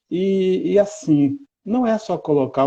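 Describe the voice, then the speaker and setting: A dark, mellow tone, somewhat breathy. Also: man. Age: 60s. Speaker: educator. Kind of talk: interview.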